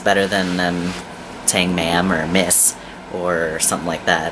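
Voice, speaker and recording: A man speaks with a very deep, low pitch. Noticeable background noise can be heard. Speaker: vlogger. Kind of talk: casual vlog update. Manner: frequent filler ums.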